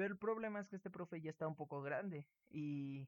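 Here a man talks in a Mexican accent at a fairly high pitch. His voice sounds dry and close, without echo. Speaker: student podcast co-host. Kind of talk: casual chat.

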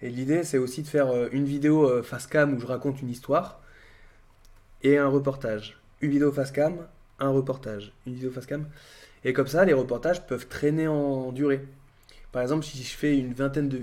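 Using a fairly high pitch, a man moves at a fairly quick pace but takes long, frequent pauses. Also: fairly even intonation. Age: 30s. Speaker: YouTuber and streamer. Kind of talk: casual livestream chat. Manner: hesitant with many fillers.

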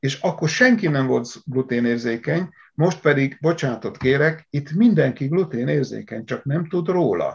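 A man talks at a very slow pace, his pitch fairly high. His delivery is somewhat breathy, with lively intonation. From Hungary, Szatmár (upper Tisza region). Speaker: agricultural engineer. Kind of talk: interview.

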